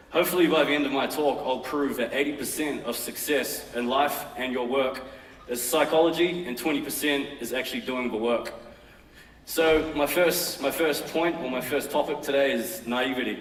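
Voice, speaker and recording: A man with a New Zealand accent speaks at a moderate pace and a fairly high pitch, with ordinary pitch variation. Room echo is audible, along with noticeable background noise. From New Zealand, West Auckland. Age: 30s. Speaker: fashion brand founder. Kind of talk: conference talk. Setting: stage with audience.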